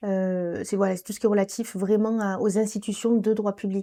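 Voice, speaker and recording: On a very clean recording with a silent background, a woman of medium pitch has a dark, mellow tone. She talks fairly quickly with fairly even intonation. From southern France, Nîmes. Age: 20s. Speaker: law graduate and community volunteer. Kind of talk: interview. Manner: hesitant, many fillers.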